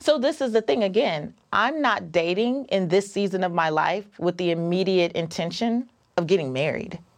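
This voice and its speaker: A woman with a plain, everyday voice at medium pitch talks at a moderate pace with lively intonation and hardly any pauses. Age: 40s. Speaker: personal finance author and podcaster. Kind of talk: casual interview.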